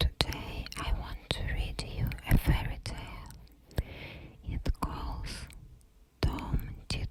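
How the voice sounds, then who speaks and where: Whispering at a very slow pace with long, frequent pauses, the voice sits amid noticeable background noise. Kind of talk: ASMR fairytale reading for sleep. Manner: whispered.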